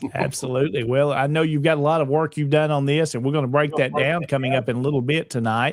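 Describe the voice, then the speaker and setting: Speaking with a Southern US accent, a man talks at a very fast pace with hardly any pauses. His fairly high voice keeps a very even loudness and fairly even intonation. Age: 40s. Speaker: online show host. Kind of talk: casual panel talk show.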